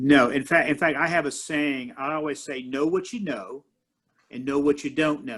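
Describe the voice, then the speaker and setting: A man's fairly high, plain, everyday voice with fairly even intonation at a moderate pace. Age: 60s. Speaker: martial arts master and minister. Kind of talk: interview conversation.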